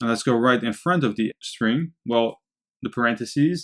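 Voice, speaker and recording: Speaking in a Dutch accent, a man uses lively intonation at a fairly slow pace, with a dry, close sound with no echo. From Netherlands. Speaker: programming instructor. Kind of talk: tutorial.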